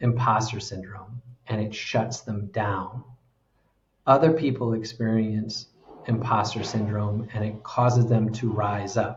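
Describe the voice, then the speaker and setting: A man with an American accent talks at a medium pitch and a fairly slow pace. His voice is somewhat breathy, with fairly even intonation. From United States. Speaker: executive coach. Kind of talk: interview conversation.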